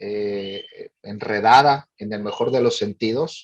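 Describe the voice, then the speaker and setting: A man with a Monterrey accent, fairly even intonation and a very slow pace. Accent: Monterrey (northern Mexican). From northern Mexico, Monterrey. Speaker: director of a family advocacy organization. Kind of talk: forum talk. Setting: panel forum.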